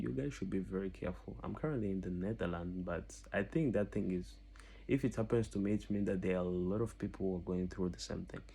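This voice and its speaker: A man with a non-native accent speaks at a fairly quick pace. His fairly low pitch carries a dark, mellow tone and ordinary pitch variation. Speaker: scam victim. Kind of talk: testimony. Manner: halting.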